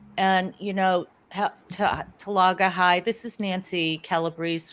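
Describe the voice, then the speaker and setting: The speaker has a US Northeastern accent. The pace is fairly slow. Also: woman. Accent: US Northeast. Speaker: sales business owner. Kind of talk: interview.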